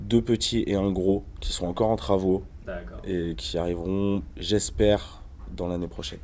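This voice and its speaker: A man with a dark, mellow tone and fairly low pitch talks at a fairly slow pace with ordinary pitch variation. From rural Ain, eastern France. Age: 30s. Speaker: rapper. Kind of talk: interview.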